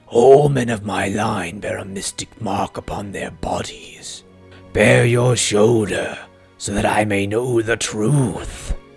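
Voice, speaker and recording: Faint music plays behind a man doing a raspy, put-on character voice at a medium pitch. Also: fairly slow pace. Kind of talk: solemn ghostly proclamation. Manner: commanding, vengeful.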